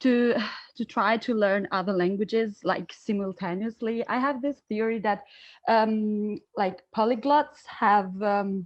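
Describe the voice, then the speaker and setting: Against a quiet background, a woman with an Albanian accent speaks fairly slowly at a fairly high pitch, her intonation fairly even. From Italy. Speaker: student asking a question. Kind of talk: audience question at online seminar. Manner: halting, many fillers.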